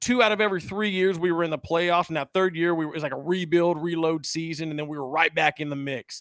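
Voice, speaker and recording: A man with an American accent speaks very fast in an animated tone and a high pitch. The recording is very clean, with a silent background and a dry, close sound with no echo. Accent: slight country. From central California (Hanford). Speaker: sports podcast host. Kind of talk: casual chat.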